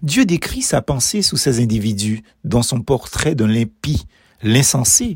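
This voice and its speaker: A man speaks very slowly with an Martinican accent and lively intonation. His voice is somewhat breathy. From Martinique. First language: Martinican Creole (speaking French). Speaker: preacher. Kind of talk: devotional meditation.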